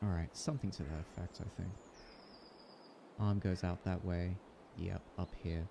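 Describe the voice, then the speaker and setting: A man speaks in a very deep, low pitch with a dark, mellow tone, somewhat breathy. His pace is moderate and his intonation fairly even, broken by long, frequent pauses. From Australia. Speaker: artist. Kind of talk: casual livestream commentary.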